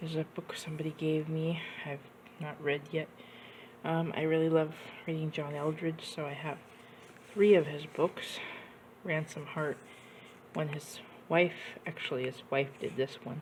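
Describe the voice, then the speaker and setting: Somewhat breathy and very deep, low in pitch, a woman speaks with long, frequent pauses. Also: moderate pace. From Washington state, US. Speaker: YouTuber. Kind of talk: casual show-and-tell vlog. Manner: animated.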